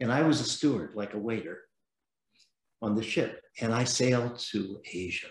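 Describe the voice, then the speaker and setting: Somewhat breathy and medium in pitch, a man with an American accent talks at a moderate pace with ordinary pitch variation and long, frequent pauses, amid audible room echo. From San Francisco, US West Coast. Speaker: venture capitalist. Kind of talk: interview.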